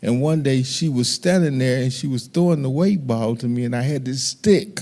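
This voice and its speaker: A man with an American accent speaks at a medium pitch and a moderate pace in a dark, mellow tone. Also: ordinary pitch variation. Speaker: youth baseball coach. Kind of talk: testimony. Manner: loud.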